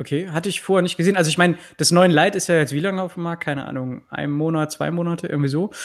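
Talking at a very fast pace with hardly any pauses, a man uses a high pitch and fairly even intonation. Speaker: tech YouTuber, podcast co-host. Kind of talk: casual chat. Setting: live online stream with remote co-hosts.

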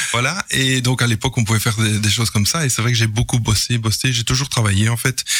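A man talks very fast with hardly any pauses, his medium-pitched voice keeping fairly even intonation and very even loudness. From Belgium, Mons. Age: 50s. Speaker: game inventor. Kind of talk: radio interview. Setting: studio. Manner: halting.

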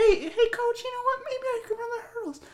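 Someone puts on a squeaky character voice at an extremely high pitch, speaking at a moderate pace. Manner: reminiscing, recreating a past moment.

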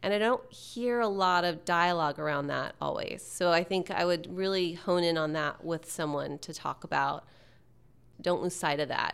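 A woman with an American accent talks at a moderate pace in an ordinary speaking voice. The recording is very clean, with a silent background. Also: fairly low pitch for a woman, ordinary pitch variation. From Texas. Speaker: tech communications executive. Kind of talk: interview.

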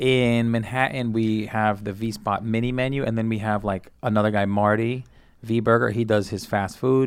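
A man speaks with a New York accent. The recording is very clean, with a silent background. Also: medium pitch for a man, fairly even intonation, moderate pace. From Brooklyn, New York City. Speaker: comedian. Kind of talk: casual chat.

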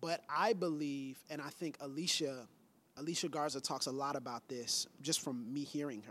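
Here a man speaks in an unremarkable speaking voice with ordinary pitch variation. His pitch is fairly high. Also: moderate pace, very clean recording, silent background. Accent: American. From Pensacola, Florida. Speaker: pastor. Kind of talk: casual chat.

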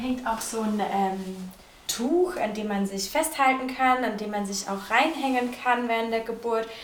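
There is audible room echo and noticeable background noise around a woman with a fairly high pitch. She talks at a moderate pace with ordinary pitch variation. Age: 20s. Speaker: midwife. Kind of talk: interview. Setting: on location in a birth center.

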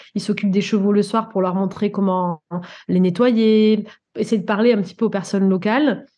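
Against a quiet background, a woman talks at a fairly quick pace with a dark, mellow tone, medium pitch and fairly even intonation. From Guadeloupe. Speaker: coach and animal communicator. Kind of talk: interview.

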